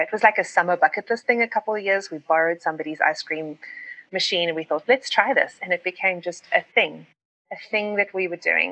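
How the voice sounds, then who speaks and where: A woman with a South African accent speaks at a fairly quick pace in a bright, sharp tone of medium pitch. The sound is dry and close, with no echo. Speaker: pastor and writer. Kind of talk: casual interview chat.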